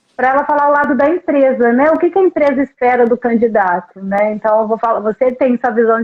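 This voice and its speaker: With music in the background, a woman speaks at a high pitch with ordinary pitch variation. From Brazil, Volta Redonda (Rio de Janeiro state). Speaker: recruitment consultant. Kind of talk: podcast interview. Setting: live stream.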